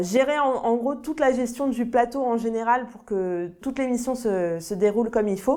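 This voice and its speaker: At a moderate pace and with hardly any pauses, a woman speaks in a high pitch with a dark, mellow tone, ordinary pitch variation and big swings in loudness. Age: 20s. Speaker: TV sound assistant and floor manager. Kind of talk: interview testimony. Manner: hesitant with fillers.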